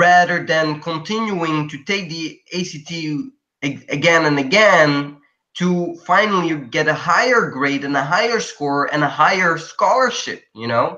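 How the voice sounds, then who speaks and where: A man with a non-native accent speaks at a fairly slow pace in a high voice, using ordinary pitch variation. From Belgium. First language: not English. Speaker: college student. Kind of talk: interview. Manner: halting.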